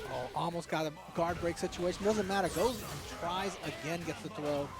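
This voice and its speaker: A man talks in a high voice against noticeable background noise. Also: ordinary pitch variation, moderate pace. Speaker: esports commentator. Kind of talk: live commentary. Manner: animated.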